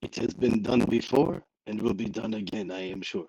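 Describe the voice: This is a put-on character voice from a man at medium pitch. He uses a French accent as part of the act and keeps a moderate pace. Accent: French, bad.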